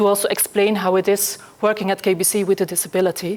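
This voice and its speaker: Over noticeable background noise, a woman talks at a medium pitch with monotone, flat intonation. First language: Dutch. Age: 40s. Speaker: accessibility specialist. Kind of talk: conference talk. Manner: fast; halting.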